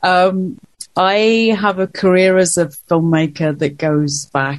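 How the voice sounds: Speaking slowly, a woman uses a low pitch with fairly even intonation.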